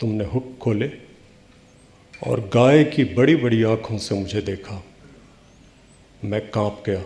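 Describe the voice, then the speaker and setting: Fairly low in pitch, this man's voice is somewhat breathy and dark and mellow in tone, with ordinary pitch variation. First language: Bhojpuri (speaking Hindi). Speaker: poet. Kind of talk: poetry reading.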